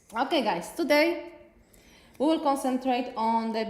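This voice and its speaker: Speaking at a moderate pace with a Polish accent, a woman is heard in a room with audible echo. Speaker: nail technician educator. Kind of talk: live tutorial stream. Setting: live stream on Facebook and YouTube.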